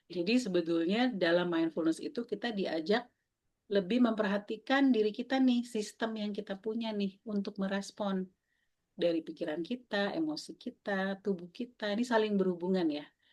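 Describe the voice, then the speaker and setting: A woman's unremarkable speaking voice, medium in pitch, at a moderate pace with ordinary pitch variation. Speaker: mindfulness facilitator. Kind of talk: online workshop talk. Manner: casual, conversational.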